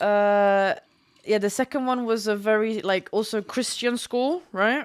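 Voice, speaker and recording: Fairly even intonation comes with an English accent. The loudness stays very even on a very clean recording with a silent background. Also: woman. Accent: English-sounding. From Germany, schooled in England. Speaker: package delivery driver and horse groomer. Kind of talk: casual chat.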